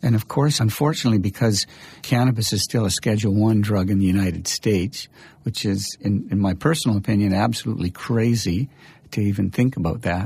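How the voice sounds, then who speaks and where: A man with a fairly low pitch and ordinary pitch variation talks at a fairly quick pace, somewhat breathy, with very even loudness in a very clean recording over a silent background. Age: 60s. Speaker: exercise physiology professor and researcher. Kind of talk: interview.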